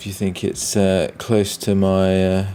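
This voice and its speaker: A man with a British accent and a dark, mellow tone. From Britain. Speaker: comic artist and streamer. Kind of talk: live stream chat. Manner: halting, many fillers.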